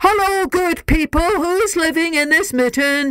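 In a put-on character voice, the speaker bellows at an extremely high pitch and a moderate pace. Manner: bellowing.

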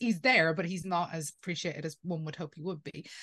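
A woman with a fairly low pitch, speaking at a fairly quick pace. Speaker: guest. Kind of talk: interview answer. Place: home room. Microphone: video call.

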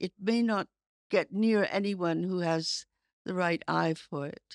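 A woman speaks in an ordinary speaking voice with an American accent, at a medium pitch with ordinary pitch variation. Her pace is fairly slow. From United States. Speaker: writer and editor. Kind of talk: interview conversation.

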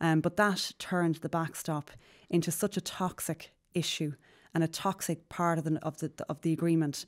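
The speaker talks in an Irish accent with monotone, flat intonation. The background is quiet. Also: woman, fairly low pitch for a woman, moderate pace. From Ireland. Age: 30s. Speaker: politician. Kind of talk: interview. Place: studio. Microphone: studio mic.

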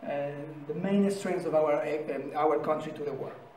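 With audible room echo, a man speaks fairly slowly and varies his pitch in an ordinary way. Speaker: presenter. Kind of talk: formal presentation speech. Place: meeting room. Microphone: camera far.

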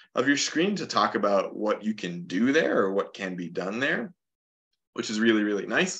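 At a moderate pace, a man with a fairly low pitch and an American accent speaks with ordinary pitch variation against a quiet background. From southern Minnesota. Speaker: naturalist and environmental educator; environmental educator. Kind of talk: webinar presentation. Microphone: webcam.

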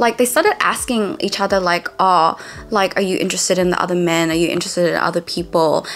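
A woman's very fast, lively speech at a medium pitch amid noticeable background noise. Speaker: YouTube reviewer. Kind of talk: casual recap monologue to camera. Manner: rambling, filler words, casual.

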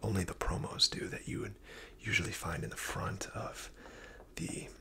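Soft-spoken whispering at a fairly slow pace over light background noise. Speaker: card collector reviewer. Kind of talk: casual commentary. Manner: close, soft ASMR whisper. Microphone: phone near.

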